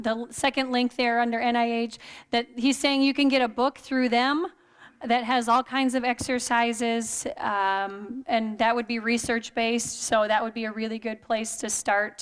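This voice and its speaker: A woman with an ordinary speaking voice talks at a moderate pace with fairly even intonation. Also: fairly high pitch for a woman, very clean recording, silent background. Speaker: exercise and wellness presenter. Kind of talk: lecture.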